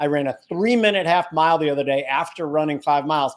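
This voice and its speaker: A man's fairly high voice at a fairly quick pace, a plain, everyday voice with ordinary pitch variation. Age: 50s. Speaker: trading show host. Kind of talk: casual chat.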